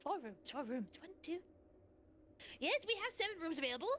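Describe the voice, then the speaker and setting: In a put-on character voice, a woman speaks at a fairly quick pace with an extremely high pitch and very wide pitch swings while clear background noise plays. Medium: actual play. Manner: fast, scattered, stop-and-start.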